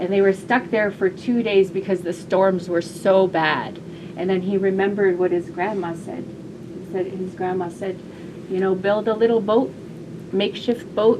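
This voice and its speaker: Recorded with audible room echo and noticeable background noise, a woman talks at a moderate pace at a medium pitch. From southwest Alaska, Yupik region. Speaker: storyteller. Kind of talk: storytelling. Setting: classroom with audience. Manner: gentle.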